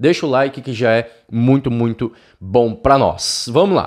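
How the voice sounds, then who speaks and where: Against a quiet background, a man talks at a fairly slow pace in an animated tone. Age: 20s. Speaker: cycling YouTuber. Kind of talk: casual video review of viewer bikes. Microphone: studio mic.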